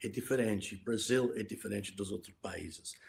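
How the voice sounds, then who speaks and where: A man is speaking. His voice is somewhat breathy. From Scotland. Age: 70s. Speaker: financial crime expert. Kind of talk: interview. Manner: halting.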